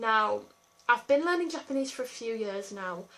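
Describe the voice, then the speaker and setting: A woman with an English accent, a bright, sharp tone, and a moderate pace. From England. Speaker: YouTuber. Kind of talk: casual chat.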